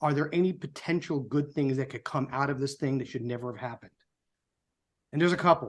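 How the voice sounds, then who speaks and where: Delivered at a very fast pace, a man's fairly high voice keeps a fairly even intonation. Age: 60s. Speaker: political group co-founder and show host. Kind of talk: prepared speech on a live show. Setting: live online show. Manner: somber.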